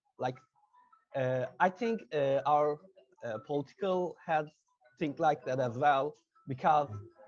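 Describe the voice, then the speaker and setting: A man in a Turkish accent, fairly high in pitch with ordinary pitch variation, at a fairly slow pace with long, frequent pauses, and music in the background. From Turkey. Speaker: interviewer. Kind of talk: interview. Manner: halting, many fillers.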